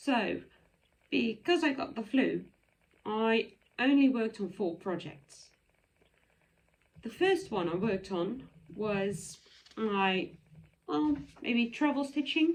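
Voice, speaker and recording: A woman speaks at a very slow pace, somewhat breathy and fairly high-pitched. Her pitch swings very widely, and she pauses long and often. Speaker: cross-stitch vlogger. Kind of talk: casual show-and-tell vlog.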